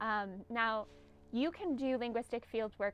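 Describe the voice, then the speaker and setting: Speaking with a Northern California accent, a woman talks at a moderate pace in a fairly high voice with ordinary pitch variation. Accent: Northern Californian American English. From US West Coast (Humboldt Bay, Northern California). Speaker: linguistics professor. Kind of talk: lecture. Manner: hesitant, many fillers.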